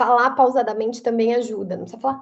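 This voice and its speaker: This woman's voice sits at a fairly high pitch. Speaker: lecturer. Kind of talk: lecture. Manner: emphatic.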